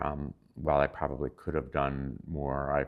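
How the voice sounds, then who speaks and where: A man's very deep, low voice carries vocal fry. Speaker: retired physician, Habitat volunteer. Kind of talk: interview answer. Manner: hesitant, many fillers.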